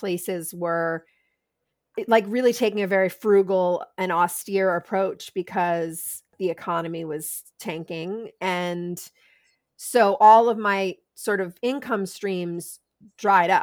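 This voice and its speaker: In a very clean recording with a silent background, a woman speaks very slowly at a medium pitch with fairly even intonation. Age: 50s. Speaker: sex educator and author. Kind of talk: interview.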